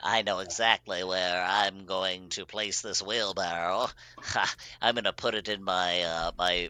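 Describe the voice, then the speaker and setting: In a put-on character voice, a man talks at a fairly slow pace with a very deep, low pitch. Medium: actual play.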